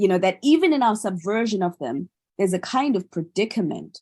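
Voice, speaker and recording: The speech comes at a fairly slow pace and sounds somewhat breathy, over a quiet background. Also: woman. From South Africa, industrial town south of Johannesburg. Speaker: artist. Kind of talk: panel conversation. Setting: video call. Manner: halting, many fillers and repeats.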